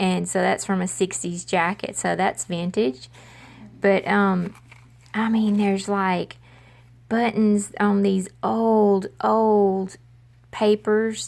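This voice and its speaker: Very slowly and with long, frequent pauses, a woman with an American accent talks at medium pitch in a monotone, flat intonation. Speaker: crafting vlogger. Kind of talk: casual haul video.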